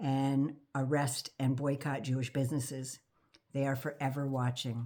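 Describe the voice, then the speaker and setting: A soft-spoken woman with a very deep, low pitch and a dark, mellow tone, talking at a fairly slow pace in a monotone, flat intonation. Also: very clean recording, silent background. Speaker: political commentator vlogger. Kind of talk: casual monologue.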